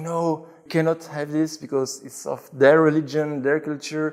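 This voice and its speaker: Flat and monotone, a man speaks at a moderate pace in a fairly high pitch. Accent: French. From Belgium, Brussels. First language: French. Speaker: convert to Islam. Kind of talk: interview testimony. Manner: halting.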